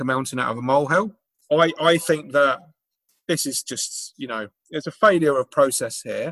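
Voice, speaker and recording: Bright and sharp in tone, a man's fairly high voice moves at a moderate pace in a dry, close sound with no echo. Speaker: podcast co-host and union organiser. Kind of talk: casual chat.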